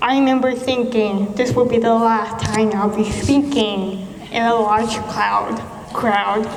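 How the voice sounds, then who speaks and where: A woman speaks at a very slow pace with lively intonation, amid audible room echo and noticeable background noise. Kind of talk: prepared speech. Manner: halting, with repetitions and self-corrections; speech shaped by years of speech therapy.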